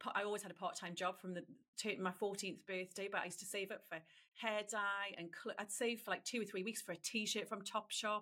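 Her tone is bright and sharp as a woman talks at a fairly quick pace with fairly even intonation. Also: medium pitch for a woman. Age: 40s. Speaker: trend forecaster, company chief executive. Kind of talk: interview.

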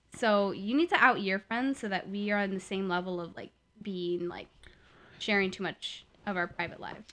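A woman with a General American accent speaks in an animated, bright, sharp tone. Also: medium pitch for a woman, moderate pace, quiet background. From US Midwest. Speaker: podcast co-host. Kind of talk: casual chat, comedic banter. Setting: recorded at home on headphone mic. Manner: animated, joking.

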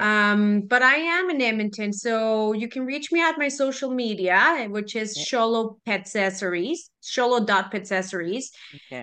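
Speaking with a Spanish accent, a woman uses a fairly high pitch, a bright, sharp tone, ordinary pitch variation and a moderate pace. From Mexico (Guadalajara). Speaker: small business owner. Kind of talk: interview. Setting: video call.

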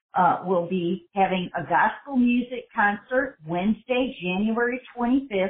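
Here a woman speaks with an American accent in a normal speaking voice. Her pace is fairly slow, with ordinary pitch variation. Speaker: church host. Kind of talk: interview promoting an event.

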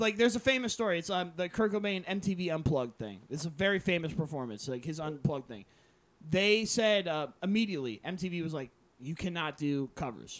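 A man with an American accent, high-pitched, fairly quick and lively in intonation. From South Jersey, US.

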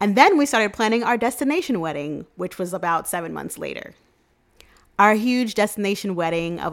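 In a New York accent, a woman speaks at a fairly quick pace and a medium pitch. The recording is very clean, with a silent background. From New York City (Queens), Jamaican parents. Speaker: podcast host and travel agent. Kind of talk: casual solo podcast monologue. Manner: upbeat, chatty.

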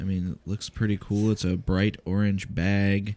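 Speaking at a fairly slow pace, a man has a plain, everyday voice pitched fairly low. The recording is very clean, with a silent background. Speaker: podcast co-host, parent. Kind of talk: casual family chat, taste test.

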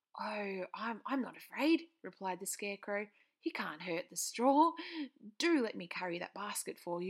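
A natural reading voice

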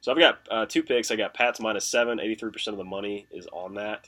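A man mumbles at a moderate pace with a fairly low pitch and a bright, sharp tone. His intonation stays fairly even. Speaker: sports betting podcast co-host. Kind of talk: casual chat.

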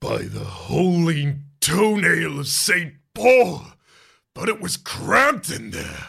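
Using a put-on character voice, a man growls at a high pitch and a very slow pace. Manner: hearty, exclaiming.

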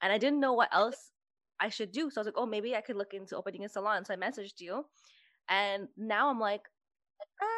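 At a very fast pace broken by long, frequent pauses, a woman speaks at a fairly high pitch. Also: ordinary pitch variation, quiet background. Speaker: podcast host, hairstylist. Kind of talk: casual chat.

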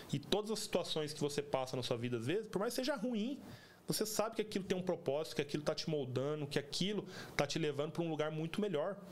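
A man speaks at a very fast pace in a fairly high voice, his intonation lively. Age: 30s. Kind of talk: casual religious chat.

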